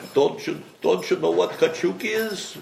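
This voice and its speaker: Noticeable background noise surrounds a man speaking at a very slow pace. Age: 80s+. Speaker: interviewee. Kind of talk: interview answer.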